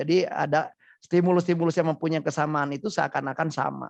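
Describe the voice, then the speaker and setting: A strong Sundanese accent, fairly even intonation and a fairly quick pace. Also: man. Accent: thick Sundanese. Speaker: psychologist. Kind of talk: webinar talk show interview. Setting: online webinar.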